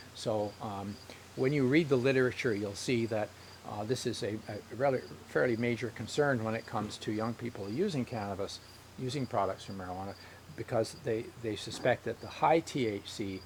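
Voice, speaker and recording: Moderate pace and ordinary pitch variation from a man at a medium pitch. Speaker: health educator. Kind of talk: educational talk. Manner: halting, many fillers.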